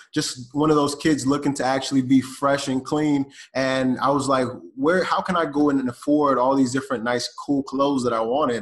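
In an ordinary speaking voice, a man talks at a fairly quick pace with a fairly high pitch and fairly even intonation. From US South, Atlanta, Georgia. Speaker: e-commerce entrepreneur. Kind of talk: podcast interview.

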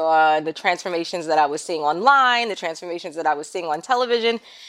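Speaking at a very fast pace with a fairly low pitch and ordinary pitch variation, a woman talks with an American accent on a very clean recording against a silent background. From New York City (Queens). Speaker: content creator. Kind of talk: interview.

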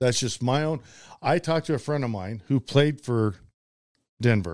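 Recorded with a dry, close sound and no echo, a man speaks at a medium pitch. He has an ordinary speaking voice. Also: very clean recording, silent background. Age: 50s. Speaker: former pro football punter. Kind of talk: casual chat.

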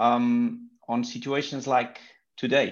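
Over a quiet background, a man with a Portuguese accent talks at medium pitch with fairly even intonation. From Portugal. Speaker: pro cycling team sports manager. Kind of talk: interview.

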